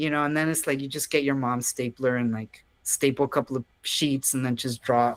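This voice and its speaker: A man with an American accent speaks in a medium pitch with monotone, flat intonation and hardly any pauses, in a dry, close sound with no echo. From South Texas. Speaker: comics artist. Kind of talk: casual interview. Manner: halting, many fillers and restarts.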